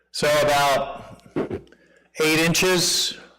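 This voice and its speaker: A man with a fairly high voice talks in a room where echo is audible. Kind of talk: reading aloud; casual chat.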